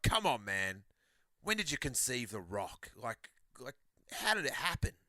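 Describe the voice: A man puts on a whiny character voice at a medium pitch. He keeps a moderate pace.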